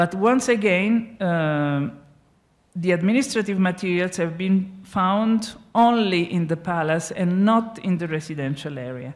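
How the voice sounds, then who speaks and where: A woman with an Italian accent speaks very slowly at medium pitch with ordinary pitch variation, against a quiet background. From Italy. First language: Italian (speaking Spanish). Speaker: archaeologist, professor; conference speaker. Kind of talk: lecture. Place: stage. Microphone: handheld.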